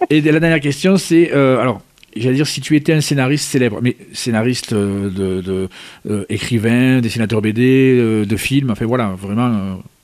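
This is an unremarkable speaking voice at a moderate pace. Pitch moves up and down by an ordinary amount. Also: man, medium pitch for a man. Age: 50s. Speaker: radio host. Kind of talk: radio interview.

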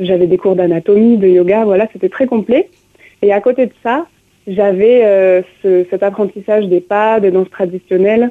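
A woman's normal speaking voice at medium pitch, fairly slow, with fairly even intonation. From southern France, Aveyron. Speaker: musician and dancer. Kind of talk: radio interview.

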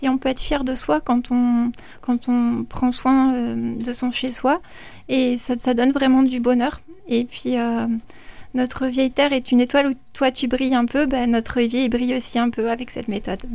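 A high-pitched woman's voice, monotone and flat, at a moderate pace. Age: 30s. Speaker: listener giving testimony. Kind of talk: testimony. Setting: studio. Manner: hesitant, many fillers.

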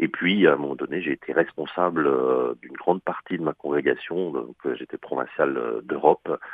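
A man speaks at a moderate pace. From Alsace. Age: 60s. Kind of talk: radio interview. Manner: hesitant, with repetitions.

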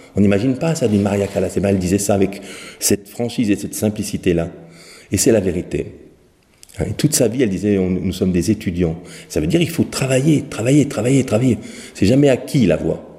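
This man speaks at a fairly quick pace with long, frequent pauses, his fairly low voice somewhat breathy, dark and mellow, with lively intonation. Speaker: professional singer and vocal teacher. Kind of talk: interview. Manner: halting.

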